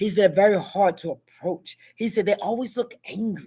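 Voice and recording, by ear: Her tone is dark and mellow with a slightly husky edge, as a woman talks at a moderate pace with ordinary pitch variation. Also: medium pitch for a woman.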